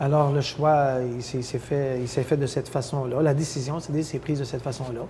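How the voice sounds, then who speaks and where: Noticeable background noise sits behind a man with a fairly high pitch who talks at a fairly quick pace in a monotone, flat intonation. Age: 60s. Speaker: mayor. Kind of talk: interview. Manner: hesitant, many fillers.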